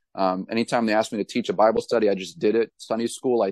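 Speaking very fast with a New England accent, the voice keeps a fairly even intonation. The sound is dry and close with no echo, over a quiet background. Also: man. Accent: New England American. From New Hampshire. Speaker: pastor and author. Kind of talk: interview.

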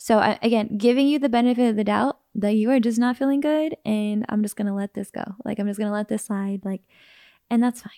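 A woman talks at a fairly quick pace in a fairly high pitch with a dark, mellow tone. Her intonation is fairly even, and the sound is dry and close with no echo. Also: very clean recording, silent background. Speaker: podcast co-host. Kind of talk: casual chat. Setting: at home on a couch. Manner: laughs often.

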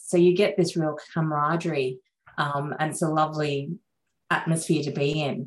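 With an Australian accent, a woman speaks at a very deep, low pitch and a fairly slow pace, her intonation fairly even. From Sri Lanka until about age nine, then Australia. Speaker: vascular surgeon. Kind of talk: interview conversation.

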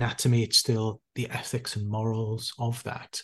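A man with a Welsh accent speaks somewhat breathily at a medium pitch and a moderate pace, with a quiet background. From South Wales. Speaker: intensive care doctor and author. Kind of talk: interview.

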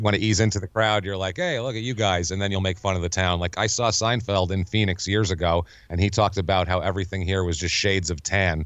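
With an American accent, the speaker moves at a very fast pace and keeps a fairly even intonation. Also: man, very deep, low pitch for a man. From New York. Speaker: comedian and podcaster. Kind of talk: casual chat.

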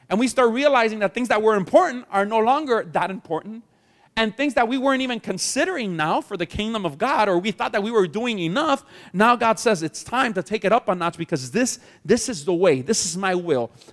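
A man with a high pitch and lively intonation at a fairly quick pace, in a dry, close sound with no echo. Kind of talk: sermon. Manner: animated, exhorting the congregation with call-and-response; warm, earnest, urgent.

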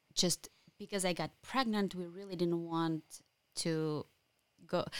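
A woman speaks with a Ukrainian accent at a medium pitch and with ordinary pitch variation. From Ukraine. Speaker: Ukrainian immigrant. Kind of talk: casual interview. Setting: studio.

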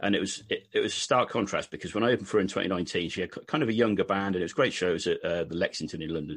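A British man talks at a very fast pace with hardly any pauses, over a quiet background. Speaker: country singer-songwriter. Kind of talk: casual interview chat. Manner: hesitant, filler-heavy.

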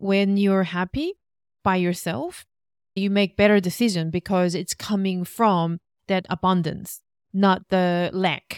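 A woman's medium-pitched voice at a very slow pace, fairly even intonation, a dry, close sound with no echo, and a very clean recording with a silent background. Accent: Korean. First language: Korean. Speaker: relationship coach and podcast co-host. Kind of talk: casual chat.

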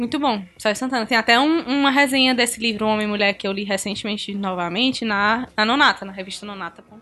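A woman talks very fast with hardly any pauses, her fairly high pitch showing ordinary variation. Noticeable background noise sits behind her. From Brazil, Ceará. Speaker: podcast guest. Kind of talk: casual chat.

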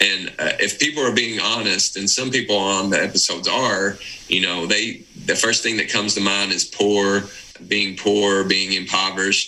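In an Appalachian accent, a man speaks at a moderate pace and a fairly low pitch. Noticeable background noise runs behind him. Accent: Appalachian Southern US. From Eastern Kentucky, Appalachia. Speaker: podcast co-host. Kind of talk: casual chat.

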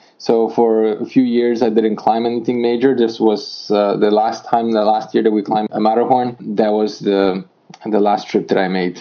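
Speaking at a moderate pace with a Polish accent, a man holds a medium pitch in a monotone, flat delivery. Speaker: amateur mountain climber. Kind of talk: interview.

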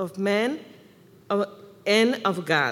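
The speaker talks in a Mexican accent with fairly even intonation. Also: woman. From Mexico. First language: Spanish. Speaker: church member. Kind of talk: testimony. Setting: church service with congregation.

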